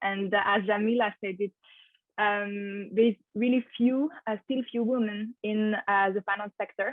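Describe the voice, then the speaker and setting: Delivered at a fairly slow pace, the speech carries a French accent and fairly even intonation. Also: woman, fairly high pitch for a woman. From France. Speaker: finance master's student. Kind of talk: webinar presentation.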